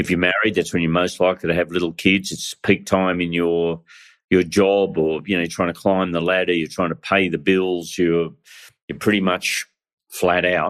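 This man has an Australian accent and a very deep, low pitch, speaking at a moderate pace. His delivery is monotone and flat, and the recording is very clean with a silent background. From Australia, northern New South Wales. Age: 60s. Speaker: pastor. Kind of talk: interview.

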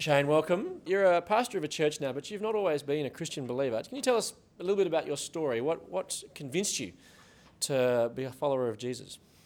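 A man with an Australian accent, fairly high in pitch, with lively intonation at a very fast pace. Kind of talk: live show hosting and interview. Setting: stage with live audience.

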